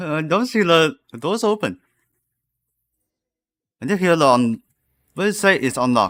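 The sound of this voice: Fairly high for a man and fairly bright in tone, this voice moves through big pitch swings at a fairly slow pace.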